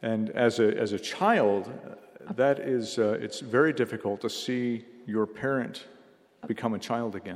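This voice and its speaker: This man has a plain, everyday voice at a medium pitch with ordinary variation. He speaks at a fairly slow pace. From United States. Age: 50s. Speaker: missionary speaker. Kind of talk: sermon. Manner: short phrases paused for interpreter.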